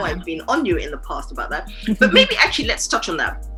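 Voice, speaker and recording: A woman's voice with music in the background. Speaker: podcast host. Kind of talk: casual podcast conversation.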